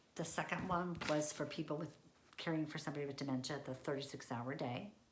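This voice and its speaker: A woman's very deep, low voice at a very fast pace, fairly even in intonation, with audible room echo. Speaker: senior living industry professional. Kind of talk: presentation.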